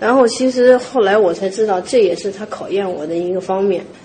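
A woman with a Henan accent over noticeable background noise. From Henan, China. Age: 30s. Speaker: traditional pastry chef. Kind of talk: interview.

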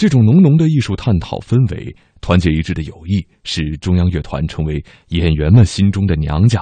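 A man's very deep, low voice, somewhat breathy and dark and mellow in tone, with lively intonation at a moderate pace. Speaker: radio host. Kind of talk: radio arts program narration. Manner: formal.

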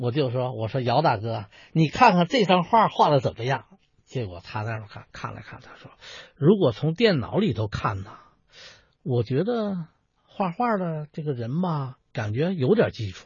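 Somewhat breathy, a man talks at a moderate pace with a fairly high pitch. His pitch swings very widely, and his loudness shifts in big swings. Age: 60s. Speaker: folk performing artist and painter. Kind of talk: interview.

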